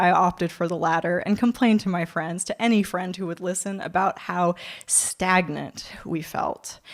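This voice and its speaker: The woman's pitch is medium, with ordinary variation. She speaks at a moderate pace in a Californian accent. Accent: American, Californian. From California, USA. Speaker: spoken word poet and performer. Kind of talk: live spoken word poetry performance. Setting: theatre stage, live audience.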